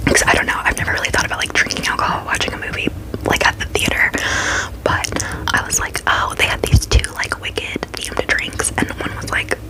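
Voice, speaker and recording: Over noticeable background noise, a woman whispers at a very fast pace. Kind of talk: ASMR storytime ramble. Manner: fast, aggressive whispering.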